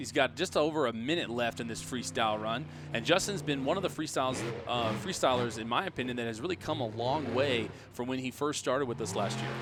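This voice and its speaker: A man's very fast, lively-intoned speech over noticeable background noise. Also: medium pitch for a man. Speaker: monster truck show commentator. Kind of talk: play-by-play sports commentary.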